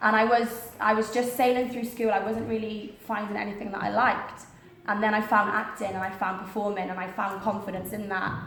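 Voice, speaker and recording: A woman with a Welsh accent and fairly high pitch talks at a fairly quick pace in monotone, flat intonation, with noticeable background noise and audible room echo. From Wales, small town. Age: 20s. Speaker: actress and motivational speaker. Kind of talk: motivational talk.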